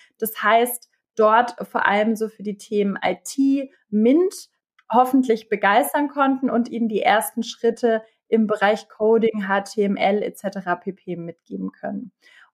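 A woman's fairly high voice, varying in pitch in an ordinary way, unfolds very slowly. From Bavaria, Germany. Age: 30s. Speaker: transformation manager and youth education advocate. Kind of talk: podcast interview.

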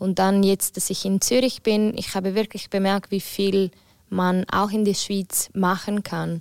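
A woman with an Italian accent speaks in a medium pitch at a fairly slow pace, monotone and flat, in a dry, close sound with no echo on a very clean recording with a silent background. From Ticino, Switzerland. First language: Italian (speaking German). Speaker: singer. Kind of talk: casual chat.

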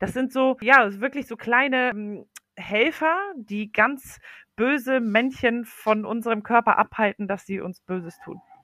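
Recorded very cleanly against a silent background, a woman with a bright, sharp tone talks at a fairly slow pace with ordinary pitch variation and a dry, close sound with no echo. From Poland. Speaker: healthy eating advocate and mom blogger. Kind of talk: interview on a children's podcast. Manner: frequent hesitations and fillers.

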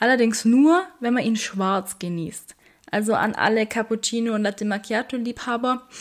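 A woman talks in an ordinary speaking voice. Her fairly high pitch shows ordinary variation. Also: moderate pace. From Bavarian Swabia, Germany (Weißenhorn). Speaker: health and fitness podcast host, trainer. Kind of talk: casual explanatory podcast talk.

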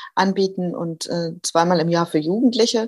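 A woman's fairly low voice at a very slow pace. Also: very clean recording, silent background. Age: 40s. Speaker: social worker, association co-founder. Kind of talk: interview.

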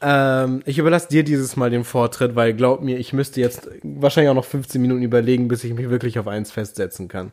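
With hardly any pauses, a man talks at a fairly quick pace and with ordinary pitch variation. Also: medium pitch for a man. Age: 20s. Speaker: podcast co-host, university student. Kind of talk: casual chat. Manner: calm, moderate delivery.

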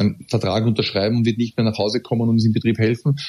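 A man with an Austrian accent talks at a very fast pace. His tone is dark and mellow, over a quiet background. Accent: Austrian German, some dialect. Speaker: professional footballer. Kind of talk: casual interview.

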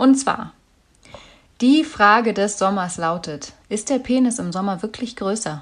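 Intonation is lively and the pace fairly slow. Long, frequent pauses run throughout. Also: woman, fairly high pitch for a woman. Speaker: podcast co-host, news presenter. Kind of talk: casual chat. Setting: at home. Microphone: deliberately uses a worse microphone.

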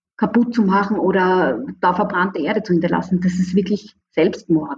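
Her voice is somewhat breathy. The woman keeps a moderate pace with ordinary pitch variation. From Austria, Graz. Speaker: professor of international management. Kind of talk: interview.

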